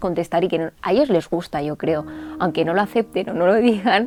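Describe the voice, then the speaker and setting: A woman with a dark, mellow tone and a fairly low pitch is heard on a very clean recording with a silent background. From Catalonia, Spain. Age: 20s. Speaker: journalist. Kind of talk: interview answer.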